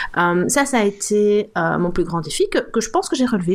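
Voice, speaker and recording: There is noticeable background noise as a woman speaks. Her medium-pitched voice has lively intonation and a fairly quick pace. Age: 50s. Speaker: food blogger. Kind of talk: casual interview.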